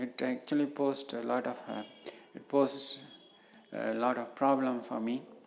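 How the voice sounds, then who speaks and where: A woman's dark, mellow tone at a moderate pace, with audible room echo. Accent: Indian. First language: Tamil. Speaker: professor. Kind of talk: lecture. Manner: halting, many fillers.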